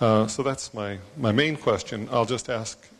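A man speaks at a fairly slow pace with ordinary pitch variation. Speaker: conference attendee, economist; audience member. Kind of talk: audience question. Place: hall.

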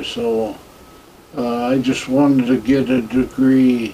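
A man speaks with an American accent in a monotone, flat intonation. Light background noise is present. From US Midwest. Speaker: war veteran. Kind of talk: oral history interview. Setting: veterans care home. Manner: halting. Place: home room.

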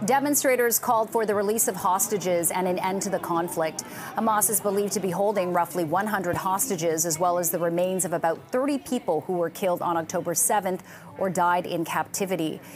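Noticeable background noise runs through the clip. The talking is fairly quick, and the pitch rises and falls in an ordinary way. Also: woman, medium pitch for a woman. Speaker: news anchor. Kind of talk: news reading. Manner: formal.

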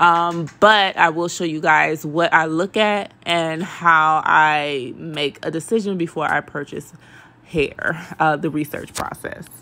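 The tone is bright and sharp, with fairly even intonation. Delivery is very slow. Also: woman, fairly low pitch for a woman. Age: 30s. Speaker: beauty YouTuber, wig reviewer. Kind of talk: casual vlog review. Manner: casual, filler-heavy. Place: bathroom. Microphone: phone near.

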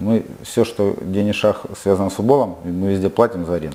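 The speaker is a man with a fairly low pitch. He goes at a fairly quick pace with ordinary pitch variation. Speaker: football club president and player. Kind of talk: interview. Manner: halting. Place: studio.

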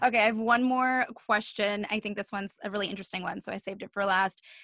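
With an American accent, a woman speaks at a fairly quick pace in a bright, sharp tone with ordinary pitch variation, in a dry sound with no echo and a quiet background. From New Jersey. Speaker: podcast host. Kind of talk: casual interview. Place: home room. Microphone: studio mic.

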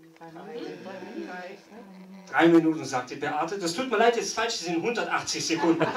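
In a room with audible echo and light background noise, a man talks at a moderate pace and high pitch, with ordinary pitch variation and big swings in loudness. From eastern Germany. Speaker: game show host at a dinner event. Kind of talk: live game show hosting. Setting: event hall with live audience, microphone. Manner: animated. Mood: playful, teasing. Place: hall. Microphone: handheld.

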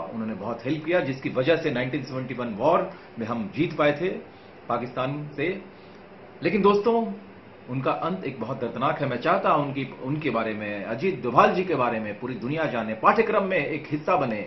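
A man speaks at a fairly slow pace. The room echo is audible, with light background noise. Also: fairly high pitch for a man. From Bihar, India. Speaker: actor. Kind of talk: casual talk to camera promoting a film. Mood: earnest, passionate. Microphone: lapel.

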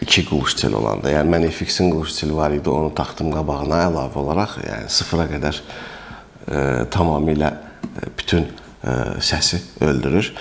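Very deep, low pitch from a man, moderate pace, ordinary pitch variation. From Azerbaijan. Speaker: airgun reviewer and shop owner; air gun seller. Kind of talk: product review tutorial; product review talk. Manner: hesitant with frequent fillers. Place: shop. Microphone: camera far.

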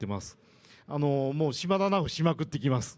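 A man with very wide pitch swings. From Japan. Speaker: amateur marathon runner and tech speaker; presenter. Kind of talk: lightning talk. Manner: hesitant, many fillers. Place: hall.

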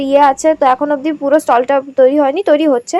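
A woman speaks in a high pitch. The sound is dry and close, with no echo. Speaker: travel vlogger. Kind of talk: vlog walkthrough narration.

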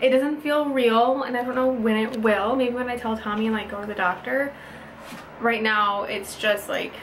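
A woman at a moderate pace with fairly even intonation, over light background noise. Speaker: mom vlogger. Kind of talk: casual vlog chat. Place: bathroom. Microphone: phone near.

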